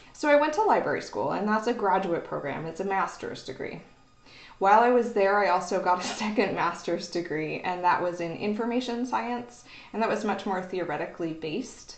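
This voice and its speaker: Over faint music in the background and audible room echo, a woman with an American accent talks at a fairly quick pace with ordinary pitch variation. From Oklahoma. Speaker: university librarian. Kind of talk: educational video talk. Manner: casual, hesitant with fillers. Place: office. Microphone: webcam.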